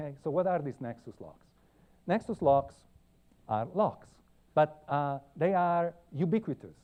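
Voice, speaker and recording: A man speaks with an Italian accent at a fairly slow pace, his fairly high voice full of lively intonation. His loudness swings widely, and he takes long, frequent pauses. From Italy. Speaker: computer science professor. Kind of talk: lecture. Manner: halting, many fillers.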